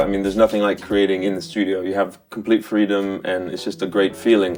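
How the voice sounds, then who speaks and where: Very fast speech with an American accent. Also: man. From New York City. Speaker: musician and music producer. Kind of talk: interview. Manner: casual, hesitant with many fillers.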